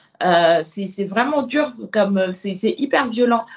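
Fairly slow speech from a woman at a medium pitch. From Senegal. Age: 30s. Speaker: body positive activist and author. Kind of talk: interview testimony. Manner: hesitant with fillers.

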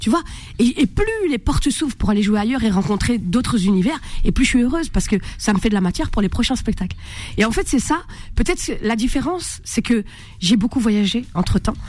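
A woman's fairly high, animated voice at a very fast pace, its loudness very even. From France, Maghrebi family. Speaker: comedian. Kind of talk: radio interview. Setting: radio studio.

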